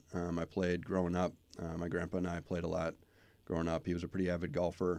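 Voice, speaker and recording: With an American accent and a very deep, low pitch, a man talks against a quiet background. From Minnesota, Twin Cities. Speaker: university athletic director. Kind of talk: casual interview.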